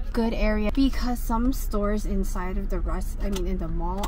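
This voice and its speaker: Over noticeable background noise, a woman speaks at a moderate pace in a dry sound with no echo. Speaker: delivery driver vlogger. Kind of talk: casual vlog chat. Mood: reflective rant. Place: car. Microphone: phone near.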